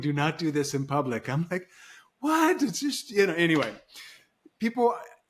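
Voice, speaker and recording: Here a man with an American accent speaks in an ordinary speaking voice, pitched fairly high. His intonation is lively, and his pace is fairly quick. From Nigeria (missionary kid, US raised). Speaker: podcast host. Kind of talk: casual interview chat.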